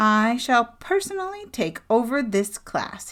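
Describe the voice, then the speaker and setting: A put-on character voice, female-sounding and fairly high in pitch for a woman, moves at a fairly slow pace with very wide pitch swings. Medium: read story. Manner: formal, pompous.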